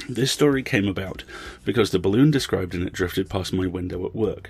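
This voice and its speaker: A man speaks at a very fast pace, his voice somewhat breathy. His pitch is fairly low and varies in an ordinary way. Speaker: podcast host. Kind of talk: scripted intro and outro, casual commentary.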